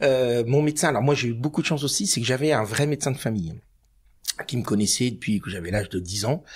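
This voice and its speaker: Here a man speaks very fast at a medium pitch. His voice is somewhat breathy, with lively intonation. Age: 50s. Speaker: cancer patient and freelance trainer. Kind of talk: podcast interview testimony. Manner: hesitant, many fillers.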